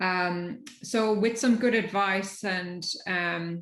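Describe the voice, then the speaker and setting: This is a woman speaking. She has an Irish accent. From Ireland. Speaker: technology executive. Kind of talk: panel discussion. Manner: halting.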